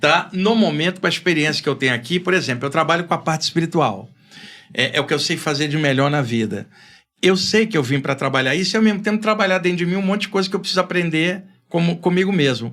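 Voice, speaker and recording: A man's high-pitched voice at a very fast pace, with ordinary pitch variation and very even loudness. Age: 60s. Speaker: spiritualist author. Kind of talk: podcast interview. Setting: studio.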